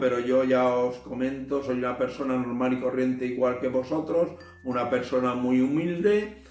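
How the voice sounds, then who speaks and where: A man speaks at a fairly slow pace and a medium pitch. There is audible room echo and noticeable background noise. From Spain, Albacete province. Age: 60s. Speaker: spiritual channel host. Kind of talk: personal monologue to camera. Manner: hesitant, many fillers.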